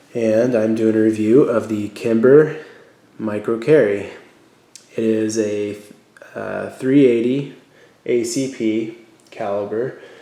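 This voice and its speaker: A man speaks at a very slow pace and medium pitch with long, frequent pauses. Audible room echo surrounds his voice. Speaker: gun reviewer. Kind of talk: product review. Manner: halting, many fillers.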